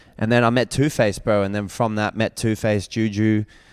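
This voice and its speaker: A man speaks with an Australian accent. The recording is very clean, with a silent background and a dry, close sound with no echo. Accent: Australian, formerly somewhat American. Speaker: rapper and singer. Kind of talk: casual podcast interview. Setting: podcast streamed live.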